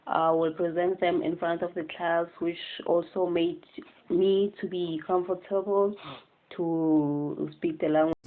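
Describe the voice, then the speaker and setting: A woman's fairly low voice moves fairly slowly and stays monotone, with flat intonation. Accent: South African. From South Africa, Eastern Cape. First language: Xhosa. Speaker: student teacher. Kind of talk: class assignment presentation. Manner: hesitant, many fillers.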